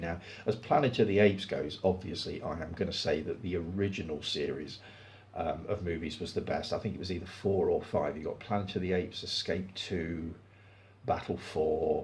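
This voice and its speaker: A relaxed, somewhat breathy voice at a fairly quick pace, with ordinary pitch variation and audible room echo. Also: man. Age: 60s. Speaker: film review YouTuber. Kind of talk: casual chat. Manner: relaxed pace.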